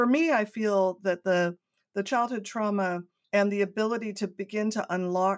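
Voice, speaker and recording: With a General American accent and an ordinary speaking voice, a woman talks at a moderate pace with fairly even intonation. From US West Coast, San Diego. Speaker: artist and nonprofit founder. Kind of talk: interview storytelling.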